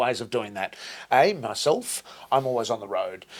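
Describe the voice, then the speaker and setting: Here a man talks with medium pitch and lively intonation. His tone is animated. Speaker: franchise owner. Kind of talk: interview. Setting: company headquarters office. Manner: loud.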